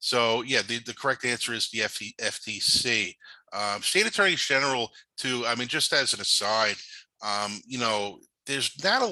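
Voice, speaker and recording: Speaking in a New York accent, a man uses a bright, sharp tone at a medium pitch, moving at a moderate pace with ordinary pitch variation. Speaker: cybersecurity and privacy law presenter. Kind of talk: webinar presentation. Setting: online webinar. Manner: halting, many fillers.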